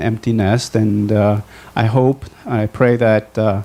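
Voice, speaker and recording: Over noticeable background noise, a man speaks at a fairly slow pace, his medium pitch held in fairly even intonation. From Bolivia. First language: Spanish. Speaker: physician. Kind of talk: testimony. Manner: halting.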